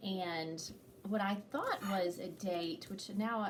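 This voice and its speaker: A woman speaks at a medium pitch, somewhat breathy. Her pitch variation is ordinary. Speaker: activity leader. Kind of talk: casual chat.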